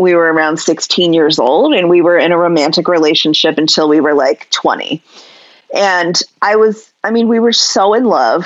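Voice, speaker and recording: A woman talks at a moderate pace in a plain, everyday voice with lively intonation. Her pitch sits fairly low. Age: 40s. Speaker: sex educator. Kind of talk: interview conversation.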